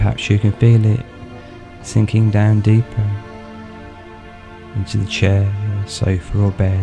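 Music plays in the background as a man speaks very slowly in a fairly low pitch. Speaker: hypnotherapist, guided meditation host. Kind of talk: guided hypnosis relaxation session. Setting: studio recording with background music. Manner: slow, soothing, calm.

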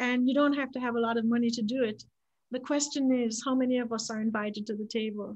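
A woman with a high voice speaks very fast in a flat, monotone delivery. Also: quiet background. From Jamaica, Kingston suburbs; Jamaica. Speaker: fundraising coach, author; fundraising coach. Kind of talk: panel discussion. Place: home room. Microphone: webcam.

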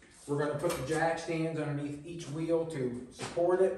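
Audible room echo and light background noise surround a man speaking at a moderate pace in a monotone, flat intonation. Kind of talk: casual shop vlog narration. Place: workshop. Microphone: camera far.

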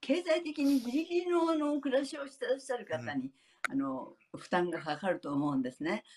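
Here a woman talks with very wide pitch swings. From Japan. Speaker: elderly app developer; panelist. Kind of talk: recorded interview. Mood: warm, smiling. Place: home room. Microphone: webcam.

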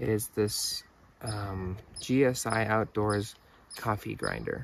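A man's voice, dry with no echo, light background noise, ordinary pitch variation. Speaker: outdoor gear reviewer. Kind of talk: casual product review. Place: open country.

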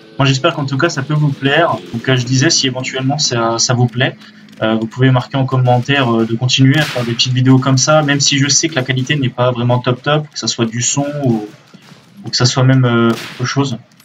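A man talks at a fairly quick pace with a medium pitch and fairly even intonation. Noticeable background noise runs behind him. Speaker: gaming youtuber. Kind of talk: casual gameplay commentary. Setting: recorded at PC, game audio in background. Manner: halting, hesitant, many fillers. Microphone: webcam.

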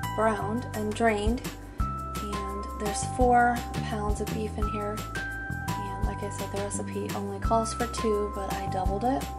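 A woman speaking at a fairly slow pace over clear music in the background. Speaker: home cooking vlogger. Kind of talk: casual vlog chat. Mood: friendly, relaxed. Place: kitchen. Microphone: phone near.

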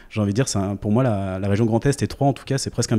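A man's voice, dark and mellow in tone, sits at a fairly low pitch. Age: 30s. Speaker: startup founder; guest. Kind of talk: interview. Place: home room. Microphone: handheld.

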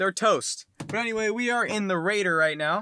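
A man speaks in a raised, projected voice at a moderate pace. The sound is dry with no echo, and faint music plays in the background. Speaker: vlogger. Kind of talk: casual vlog chat. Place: car. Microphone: phone near.

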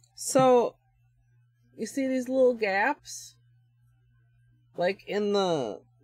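A woman speaks at a very slow pace, with long, frequent pauses. The sound is dry with no echo, and faint music plays in the background. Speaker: nail art streamer. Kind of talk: livestream tutorial. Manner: casual, halting with fillers.

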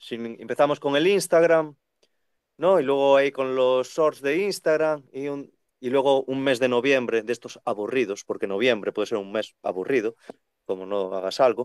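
Against a quiet background, a man with a fairly high pitch talks at a moderate pace, the sound dry with no echo. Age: 30s. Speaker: second-hand bookseller. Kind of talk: casual chat. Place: shop. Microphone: video call.

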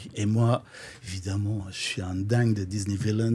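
A man speaks at a fairly slow pace. His dark, mellow tone is somewhat breathy. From Flanders, Belgium. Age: 50s. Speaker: drag queen DJ. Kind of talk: casual interview.

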